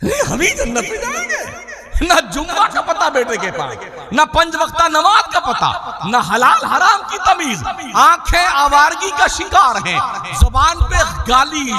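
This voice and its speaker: A man's raised, projected voice, extremely high-pitched with very wide pitch swings, over noticeable background noise. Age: 60s. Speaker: Islamic preacher. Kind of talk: sermon. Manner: animated.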